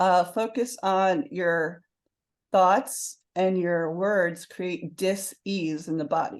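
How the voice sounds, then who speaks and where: A woman speaks very slowly at a medium pitch. The background is quiet. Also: ordinary pitch variation. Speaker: author and success coach. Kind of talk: interview.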